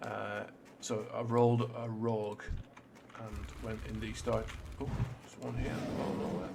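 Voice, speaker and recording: A man at a fairly slow pace with long, frequent pauses, amid noticeable background noise and audible room echo. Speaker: gaming YouTuber. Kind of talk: let's play commentary. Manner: casual with many fillers.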